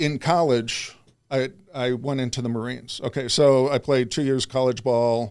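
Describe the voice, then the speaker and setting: An unremarkable speaking voice from a man with an American accent, medium in pitch, moderate in pace and fairly even in intonation, in a very clean recording with a silent background. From US Midwest, Chicago suburbs. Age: 60s. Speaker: self-improvement coach. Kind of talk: interview conversation.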